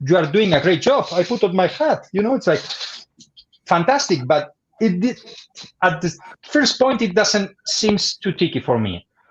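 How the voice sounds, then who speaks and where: At a moderate pace but with long, frequent pauses, a man with a Spanish accent talks at a high pitch, swinging very widely in pitch. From Spain. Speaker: bartender. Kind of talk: educational livestream presentation. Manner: halting.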